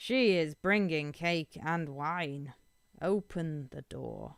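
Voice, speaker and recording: A put-on character voice at middle pitch moves at a very slow pace. The recording is very clean, with a silent background. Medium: read story. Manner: sly, wheedling.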